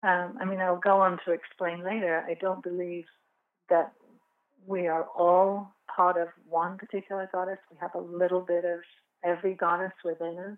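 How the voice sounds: With an English accent, a woman speaks at a moderate pace in a fairly low pitch that shows little pitch movement. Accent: English (England).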